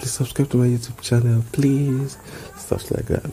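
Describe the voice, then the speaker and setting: A man with a Nigerian accent talks over noticeable background noise. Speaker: podcaster. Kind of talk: casual monologue. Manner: halting.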